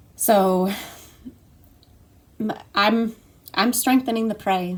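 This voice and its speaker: The woman's voice is fairly high. It sounds shaky. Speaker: trauma recovery coach. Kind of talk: personal vlog testimony. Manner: halting, many fillers and repeats; shaky voice.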